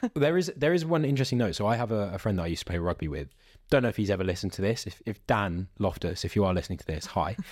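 A man with a British accent, fairly low pitch, lively intonation and a very fast pace, on a very clean recording with a silent background. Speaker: podcast host. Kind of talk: casual chat.

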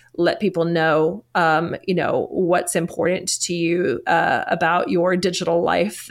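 Medium pitch from a woman speaking with an American accent. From United States. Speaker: psychologist and author. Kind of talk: interview chat.

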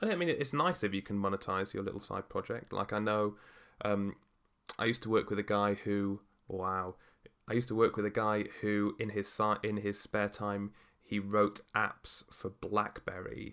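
This man has a normal speaking voice with a fairly low pitch. He speaks at a moderate pace with fairly even intonation. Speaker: podcast host. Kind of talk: casual chat.

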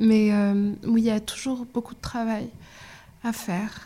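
This woman's voice sits fairly high. She speaks in a monotone, flat way. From Morocco. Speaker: documentary filmmaker. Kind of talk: casual interview.

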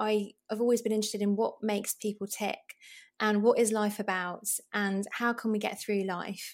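In a very clean recording with a silent background, the speaker talks at a moderate pace with a British accent and a monotone, flat intonation. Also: woman. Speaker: GP and broadcaster. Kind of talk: casual interview.

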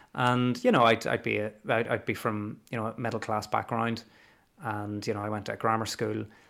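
A man with a Belfast accent speaks at medium pitch and a fairly quick pace with monotone, flat intonation. The recording is very clean, with a silent background. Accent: Belfast Northern Irish. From Northern Ireland, Belfast. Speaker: teacher. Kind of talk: casual history interview.

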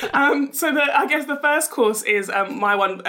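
In a normal speaking voice, a woman talks at a moderate pace. Her intonation is lively. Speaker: entrepreneur and business mentor.

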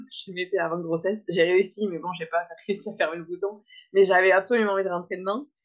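Moving along at a fairly quick pace, a woman talks with flat, monotone intonation. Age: 20s. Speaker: florist and mother. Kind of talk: interview testimony.

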